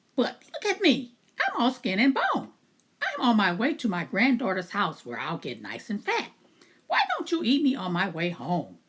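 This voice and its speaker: A female-sounding voice doing a put-on character. The pitch sits fairly high and the pace is moderate. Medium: read story.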